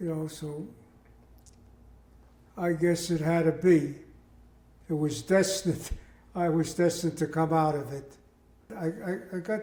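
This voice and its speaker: With an American accent, the speaker keeps fairly even intonation at a moderate pace, with long, frequent pauses. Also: man. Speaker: war veteran. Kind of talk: interview answer.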